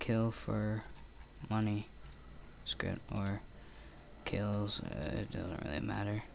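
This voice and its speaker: The voice moves at a very slow pace over noticeable background noise. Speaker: game scripting tutorial maker. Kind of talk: casual screen-recorded coding tutorial. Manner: hesitant, many fillers.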